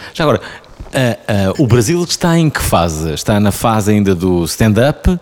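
The man's pitch is fairly low and swings very widely. His loudness stays very even, with noticeable background noise behind him. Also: hardly any pauses. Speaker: podcast host. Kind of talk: casual interview.

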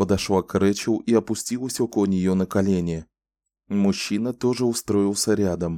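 Ordinary pitch variation in a natural reading voice, against a quiet background

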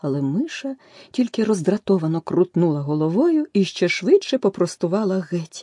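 Here is a natural reading voice. The intonation is lively.

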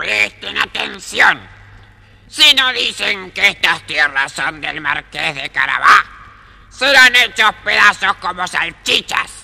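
Gruff and fairly slow, a man does a put-on character voice at a high pitch. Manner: threatening.

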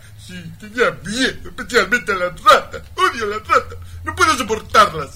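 In a put-on character voice, a man talks at a fairly slow pace with a high pitch, a bright, sharp tone and lively intonation.

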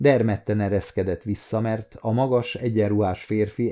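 The intonation of this natural reading voice is fairly even.

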